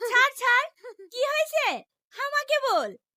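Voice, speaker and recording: A woman performs a put-on character voice, squeaky and extremely high in pitch, with ordinary pitch variation. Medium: short film.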